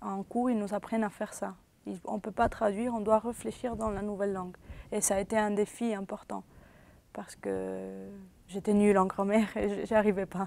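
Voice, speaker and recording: With a Spanish accent, a woman speaks at medium pitch and a moderate pace. Her tone is dark and mellow, and her intonation is monotone and flat. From Venezuela. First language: Spanish (speaking French). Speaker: interviewee, former student. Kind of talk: interview testimony. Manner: hesitant, with false starts.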